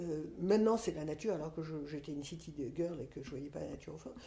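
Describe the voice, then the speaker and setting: In a room with audible echo, a woman speaks at a fairly low pitch with a dark, mellow, somewhat breathy tone and ordinary pitch variation. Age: 60s. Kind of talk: podcast interview, personal testimony. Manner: hesitant, many fillers and repetitions.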